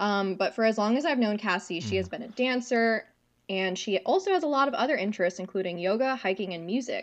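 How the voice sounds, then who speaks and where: A woman with an American accent and an ordinary speaking voice talks at a fairly quick pace, fairly high in pitch, with lively intonation. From New York State (Cornwall, upstate). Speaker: podcast co-host. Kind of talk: casual podcast chat.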